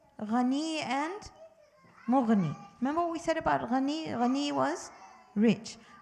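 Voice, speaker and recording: In a room with audible echo, a woman speaks at a fairly slow pace and a high pitch, with very wide pitch swings. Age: 60s. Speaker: religious teacher for children and parents. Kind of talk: religious teaching talk to families. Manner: animated.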